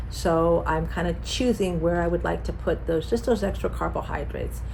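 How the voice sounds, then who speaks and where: Speaking at an even, middling tempo, a woman's voice bounces in an echoing room while background noise is clearly present. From Mexican heritage. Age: 60s. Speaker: nutritionist. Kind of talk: health talk. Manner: casual, conversational.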